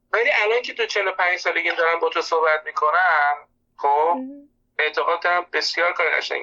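His voice high in pitch, a man talks at a moderate pace with ordinary pitch variation and long, frequent pauses. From Iran. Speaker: psychology expert. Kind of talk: interview conversation. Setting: phone call.

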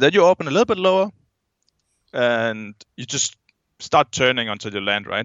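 A man with a Danish accent, his pitch swinging very widely, with long, frequent pauses. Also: medium pitch for a man, moderate pace. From Denmark. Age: 20s. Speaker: skydiver. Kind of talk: casual chat.

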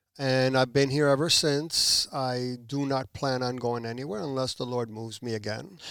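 Over noticeable background noise, a man talks at a moderate pace with a medium pitch and fairly even intonation. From New Jersey (Puerto Rican family). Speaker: church member, guest on faith podcast. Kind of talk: casual interview, testimony. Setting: studio.

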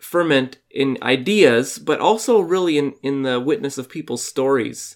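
A man with an ordinary speaking voice, fairly slow and lively in intonation, on a very clean recording with a silent background. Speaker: podcast host. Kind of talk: casual interview chat.

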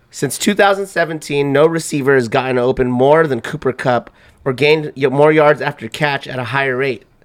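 A man speaks loudly in a strained, fairly high voice. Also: ordinary pitch variation, moderate pace. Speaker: sports podcast host. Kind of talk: casual sports chat. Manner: loud, strained.

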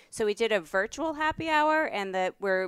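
A woman with a New York accent speaks with very wide pitch swings, recorded dry and close with no echo, very clean, against a silent background. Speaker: professor. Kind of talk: casual chat.

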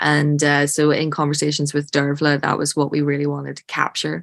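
In a very clean recording with a silent background, a woman talks with a very deep, low pitch and monotone, flat intonation, the sound dry and close with no echo. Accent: Irish. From Ireland. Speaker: film director. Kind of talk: interview.

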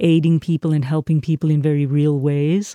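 A woman speaks in a South African accent at a very deep, low pitch. Her intonation is monotone and flat, and her tone is dark and mellow. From South Africa, Port Elizabeth. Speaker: minister. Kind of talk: interview.

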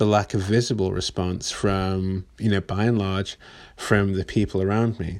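On a very clean recording with a silent background, a man with an English accent speaks at a fairly low pitch. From England. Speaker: podcast host. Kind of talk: casual monologue.

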